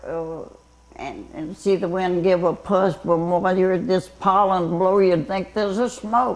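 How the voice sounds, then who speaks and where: A woman with a Southern US accent speaks at a fairly slow pace. Her voice is medium in pitch with ordinary variation. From Louisiana. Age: 80s+. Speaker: retired fire tower lookout. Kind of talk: interview answer.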